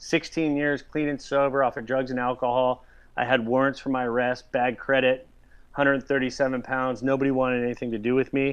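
With an American accent, a man speaks in a medium pitch at a moderate pace using monotone, flat intonation. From Southern California. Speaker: celebrity hairstylist. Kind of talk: casual interview chat.

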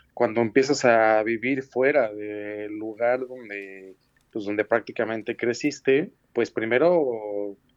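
The man's voice sits at a medium pitch with ordinary pitch variation, moving at a very slow pace in a dry, close sound with no echo. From Mexico City. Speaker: graphic designer and art direction student. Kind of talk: interview. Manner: halting.

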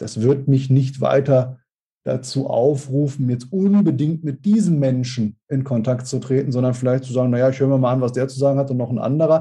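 A man talks at a fairly quick pace with a dark, mellow tone. His medium-pitched voice is somewhat breathy, and his intonation stays fairly even. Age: 40s. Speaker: speaker agency owner and sales consultant. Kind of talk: podcast interview.

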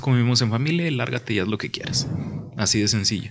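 This man has an ordinary speaking voice at a medium pitch. His intonation is lively. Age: 20s. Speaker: podcast co-host. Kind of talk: casual chat.

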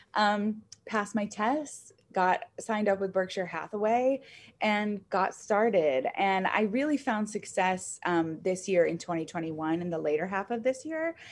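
A woman talks in a plain, everyday voice at a medium pitch, fairly slowly and with lively intonation. The recording is very clean, with a silent background. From upstate New York, rural. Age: 20s. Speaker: real estate agent. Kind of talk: casual interview.

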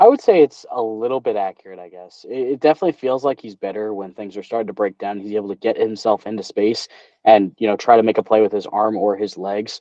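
Talking very fast with hardly any pauses, a man with an American accent uses a fairly low pitch and big swings in loudness. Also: ordinary pitch variation. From New Jersey. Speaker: sports podcast host. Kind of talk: casual chat. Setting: video call.

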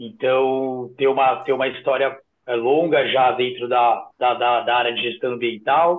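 With an unremarkable speaking voice, a man talks at a medium pitch, fairly slowly, with fairly even intonation. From São Paulo, south zone (Interlagos). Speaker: urban park manager. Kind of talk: casual interview chat.

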